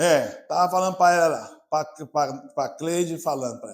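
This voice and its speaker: In a very clean recording with a silent background, a man speaks at a fairly slow pace with an animated tone. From Brazil, Maranhão (São Luís). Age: 60s. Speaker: pastor. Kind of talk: sermon. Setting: church.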